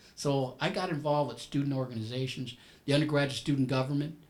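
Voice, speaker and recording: A man's somewhat breathy voice at a fairly high pitch and a very fast pace. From US, Puerto Rican family, inner city. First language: Spanish. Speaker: business professional panelist. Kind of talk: panel talk. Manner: halting, many repeated words.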